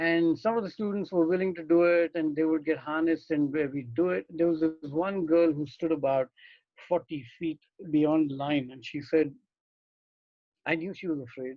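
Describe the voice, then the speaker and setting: A plain, everyday voice. It moves at a moderate pace with ordinary pitch variation. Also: man, fairly high pitch for a man. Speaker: experiential educator and trainer. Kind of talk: online masterclass lecture. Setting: online video meeting.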